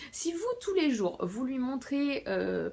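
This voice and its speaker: This woman talks at a fairly slow pace, her high pitch making very wide swings. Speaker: book vlogger. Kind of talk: casual vlog talk. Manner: hesitant with many fillers.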